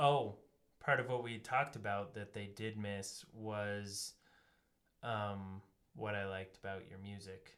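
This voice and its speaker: A man's plain, everyday voice, fairly low-pitched and fairly slow, with fairly even intonation and big swings in loudness. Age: 20s. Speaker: podcast host and musician. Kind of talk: casual chat. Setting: studio.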